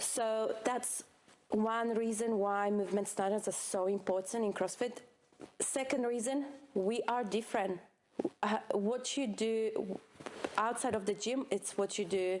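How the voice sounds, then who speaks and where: With long, frequent pauses, a woman with a non-native accent speaks at a fairly high pitch, her intonation fairly even and her loudness very even, over noticeable background noise. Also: fairly slow pace. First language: not English. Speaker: CrossFit coach. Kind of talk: podcast discussion. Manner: halting.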